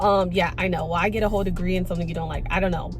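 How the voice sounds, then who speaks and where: With music in the background and audible room echo, a woman in an American accent speaks in an animated tone. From Florida, Tampa. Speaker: vlogger. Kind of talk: testimony.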